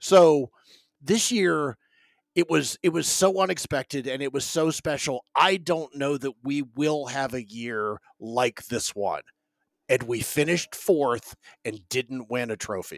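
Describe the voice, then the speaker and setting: Using a plain, everyday voice, a man speaks at a fairly slow pace and fairly high pitch with lively intonation, in a dry, close sound with no echo. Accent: American. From North Carolina, Raleigh. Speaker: football podcaster, guest. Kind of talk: casual chat. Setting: video call.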